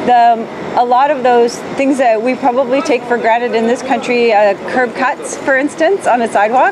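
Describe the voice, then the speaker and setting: With noticeable background noise behind her, a woman speaks at a high pitch, her loudness very even and her pitch varying an ordinary amount. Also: moderate pace. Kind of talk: interview answer. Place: street.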